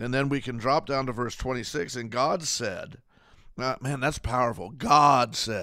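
Using a put-on character voice, a man speaks hoarsely at a fairly slow pace, medium in pitch with fairly even intonation. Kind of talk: preaching, sermon.

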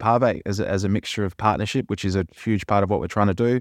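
Over a quiet background and in a dry, close sound with no echo, a man with an Australian accent speaks fairly quickly at a fairly low pitch. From Perth, Western Australia. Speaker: managing director of a sustainability consultancy, former professional cricketer. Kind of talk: casual interview. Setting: studio. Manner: hesitant, many fillers; passionate.

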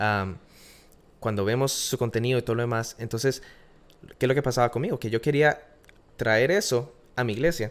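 Long, frequent pauses break up speech with ordinary pitch variation on a very clean recording with a silent background. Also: man, medium pitch for a man. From Costa Rica. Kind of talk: casual interview chat. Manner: hesitant, repeats words.

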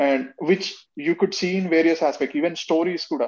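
The speaker has a Telugu accent and talks at a moderate pace. The background is quiet. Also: man. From India, Telangana (Warangal). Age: 20s. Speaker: podcast guest. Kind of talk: casual chat.

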